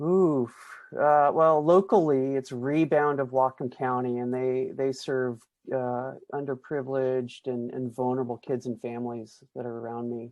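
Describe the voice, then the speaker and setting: Pitched in the medium range, a man has an unremarkable speaking voice, fairly even intonation, and a moderate pace. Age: 50s. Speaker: pastor and author. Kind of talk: interview.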